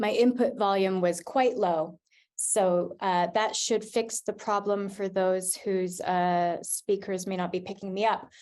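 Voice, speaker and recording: Against a quiet background, a woman speaks with a Canadian accent at a fairly slow pace. Her medium pitch carries fairly even intonation. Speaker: arts funding director. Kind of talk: scripted presentation. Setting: video call. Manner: slow, read from script.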